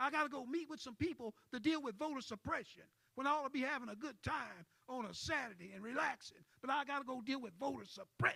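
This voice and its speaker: A man with an extremely high pitch and a bright, sharp tone talks very fast in a raised, projected voice, animated in tone, with ordinary pitch variation. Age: 70s. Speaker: civil rights activist. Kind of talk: panel discussion.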